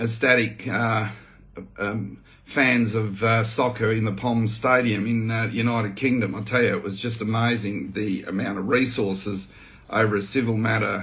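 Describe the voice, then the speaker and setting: A man with an Australian accent speaks at medium pitch and a moderate pace in a monotone, flat intonation, with audible room echo. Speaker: farmer and activist. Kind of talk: video update, reading out a witness statement. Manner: casual, hesitant with many fillers.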